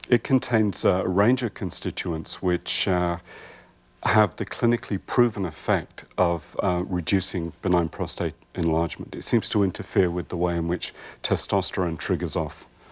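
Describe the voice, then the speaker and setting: An English accent at a moderate pace, with ordinary pitch variation. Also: man, very deep, low pitch for a man. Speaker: herbalist. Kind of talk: TV interview.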